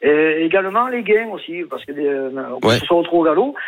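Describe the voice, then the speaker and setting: Here a man speaks with a southern French accent at a high pitch. His intonation is lively and his pace moderate. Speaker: horse racing bettor. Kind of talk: phone-in. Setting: phone call.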